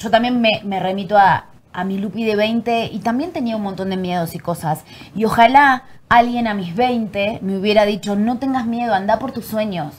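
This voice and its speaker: Somewhat breathy and fairly high in pitch, a woman with an Argentine accent speaks at a moderate pace with ordinary pitch variation. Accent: Argentine Spanish, voseo. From Argentina. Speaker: actress and acting teacher. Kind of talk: casual chat.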